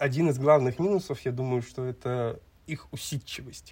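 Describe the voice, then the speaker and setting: Here a man speaks in an unremarkable speaking voice at a medium pitch. His pace is moderate and his pitch varies in an ordinary way. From Kazakhstan, Almaty. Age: 20s. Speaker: podcast co-host. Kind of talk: casual chat.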